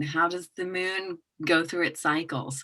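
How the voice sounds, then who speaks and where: This woman talks fairly slowly in a fairly low pitch, her tone bright and sharp and her intonation fairly even. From England and Hong Kong. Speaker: intuitive business coach. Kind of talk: podcast interview. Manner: hesitant, many fillers.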